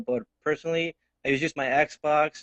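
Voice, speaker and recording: A man speaks with a slight Mexican accent. His pitch is fairly high. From Mexico. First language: Spanish. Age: 20s. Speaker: tech enthusiast guest. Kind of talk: casual tech chat. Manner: halting, with stammers and fillers.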